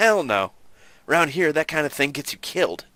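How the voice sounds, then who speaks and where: A man puts on a rumbling character voice at a fairly high pitch and a moderate pace, captured in a very clean recording with a silent background. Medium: game stream. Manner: curt, grumbling.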